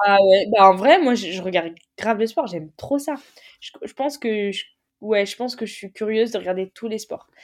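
A moderate pace with ordinary pitch variation. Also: woman, fairly high pitch for a woman. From northern France (Picardie, Noyon). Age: 20s. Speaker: sport shooter. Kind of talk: interview. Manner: casual, halting with fillers.

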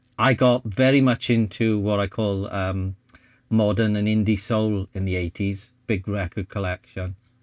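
A man with a South Wales Valleys accent speaks fairly slowly in a fairly low voice with fairly even intonation. The sound is dry and close with no echo, over a quiet background. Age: 60s. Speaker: photographer and vlogger. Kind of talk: casual chat.

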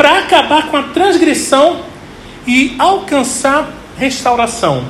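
Noticeable background noise fills the recording. The speaker goes very slowly. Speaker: pastor. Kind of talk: sermon.

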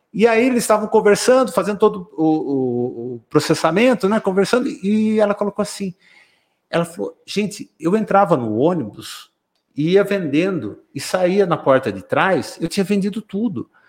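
A man with a high pitch and lively intonation at a moderate pace. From Brazil, São Roque region, São Paulo state. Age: 50s. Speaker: business director. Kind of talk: casual interview.

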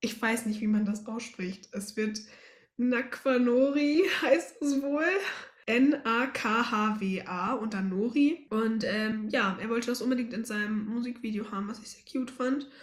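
Her voice sits fairly high in pitch. The woman speaks at a very slow pace. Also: ordinary pitch variation. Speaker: podcast co-host. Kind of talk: casual chat.

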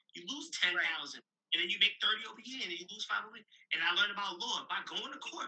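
Speaking at a very fast pace, a man talks in a New York accent. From Brooklyn, New York. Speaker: real estate investor and author. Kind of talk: interview. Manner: animated.

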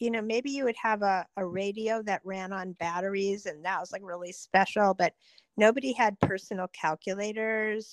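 A plain, everyday voice, a woman at medium pitch, with fairly even intonation, a moderate pace and a dry, close sound with no echo. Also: hardly any pauses. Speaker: younger sister telling childhood stories. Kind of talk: elder telling life stories, casual reminiscing. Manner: vivid, descriptive, laughing.

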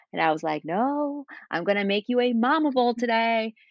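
Lively intonation from a woman in a Spanish accent. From Spain. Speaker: cookbook author and meal-planning entrepreneur. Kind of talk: casual interview.

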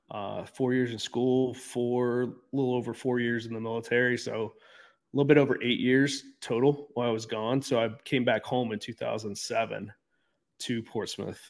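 A man with an American accent at medium pitch, moderate in pace, flat and monotone in intonation. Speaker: gym owner and addiction recovery advocate. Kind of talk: interview. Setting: video call with poor internet.

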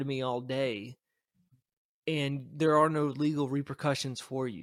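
A plain, everyday voice from a man, fairly high in pitch with ordinary pitch variation, on a very clean recording with a silent background. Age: 30s. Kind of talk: casual chat.

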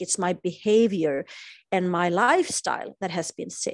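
A woman in a Swedish accent, medium in pitch with ordinary pitch variation, over a quiet background. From Sweden. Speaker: spiritual teacher. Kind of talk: interview.

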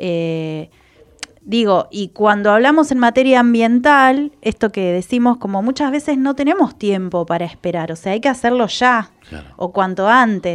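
A woman delivers her words fairly slowly, her intonation lively. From Argentina, Chubut (Trelew, Patagonia). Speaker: environmental communication specialist, senate adviser. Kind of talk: radio interview. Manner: hesitant, many fillers.

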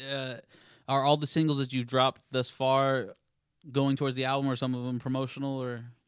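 In a very clean recording with a silent background, a man with an American accent speaks at a fairly quick pace in a medium pitch, his intonation flat and monotone. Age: 20s. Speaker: podcast host. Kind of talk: casual chat. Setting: live studio podcast with audience.

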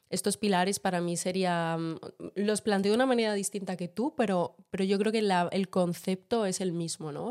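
In a very clean recording with a silent background, a woman speaks at a moderate pace and a medium pitch with fairly even intonation. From Madrid, Spain. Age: 20s. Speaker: podcast co-host. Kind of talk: casual chat. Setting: home kitchen.

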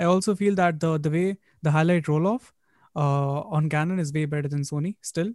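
A man with an Indian accent and a fairly high pitch, fairly quick and fairly even, in a very clean recording with a silent background and dry, close sound with no echo. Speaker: podcast host. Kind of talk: interview conversation.

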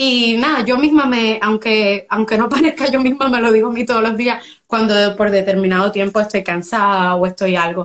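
A woman with a fairly high pitch and a normal speaking voice talks at a moderate pace with ordinary pitch variation and hardly any pauses. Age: 20s. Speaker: small business owner. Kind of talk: interview.

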